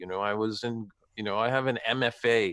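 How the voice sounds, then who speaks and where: Recorded very cleanly against a silent background, a man has a normal speaking voice at a medium pitch with ordinary pitch variation. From Canada. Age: 50s. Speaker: actor and playwright. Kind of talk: interview conversation.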